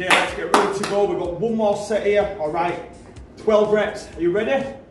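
A man speaks at a moderate pace over loud background noise, with audible room echo. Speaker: personal trainer in sketch. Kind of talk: scripted comedy dialogue. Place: gym. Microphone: camera far.

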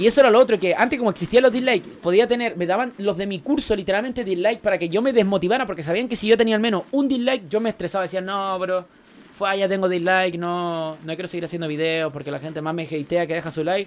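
With hardly any pauses and a very fast pace, a man talks at a high pitch with ordinary pitch variation. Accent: Chilean. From Chile. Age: 20s. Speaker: gaming streamer. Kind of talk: casual chat. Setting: live stream.

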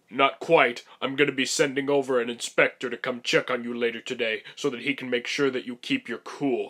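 A fairly quick, monotone delivery from a man at medium pitch, flat in intonation, with hardly any pauses. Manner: dry, joking, stern.

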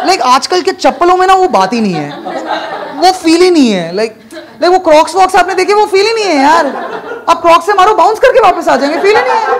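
Over noticeable background noise, a man talks very fast at an extremely high pitch with lively intonation. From Bengal, India. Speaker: stand-up comedian. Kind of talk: stand-up. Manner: animated. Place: stage. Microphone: handheld.

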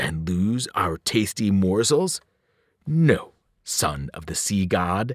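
A man's growling put-on character voice at a low pitch, with big pitch swings and a slow pace, in a dry, close, very clean recording with a silent background and no echo.

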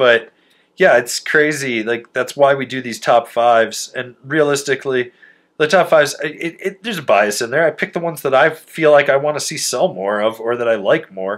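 A man speaks in a fairly high voice with ordinary pitch variation. The background is quiet. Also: moderate pace. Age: 30s. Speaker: snowboard reviewer and podcast host. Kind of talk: casual chat. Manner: animated. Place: home room.

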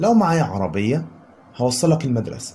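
Talking at a moderate pace, a man with an Egyptian accent shows ordinary pitch variation. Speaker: English teacher. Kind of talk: lecture.

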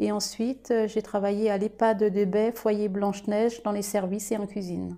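Her voice is fairly high in pitch with a dark, mellow tone, and this woman speaks at a fairly slow pace with monotone, flat intonation in a very clean recording over a silent background. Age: 40s. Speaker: restaurant owner. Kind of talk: interview testimony. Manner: formal.

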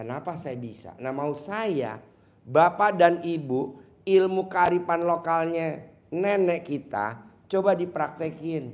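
A man speaks at a high pitch and a very slow pace. His loudness swings widely. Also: ordinary pitch variation. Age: 50s. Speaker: spiritual motivator; presenter. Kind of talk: live Q&A with audience. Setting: hall with live audience. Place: hall. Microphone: handheld.

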